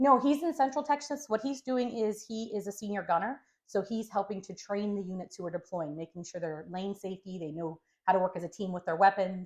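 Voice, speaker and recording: A woman's medium-pitched voice, fairly quick in pace and lively in intonation. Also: big swings in loudness. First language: Spanish. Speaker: home care business co-owner and caregiver. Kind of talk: interview.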